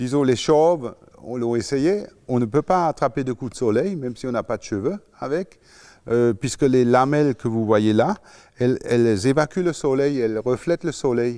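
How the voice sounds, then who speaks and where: The man's pitch is medium, with ordinary variation. He keeps a moderate pace. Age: 60s. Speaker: inventor and business owner. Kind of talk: interview. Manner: halting.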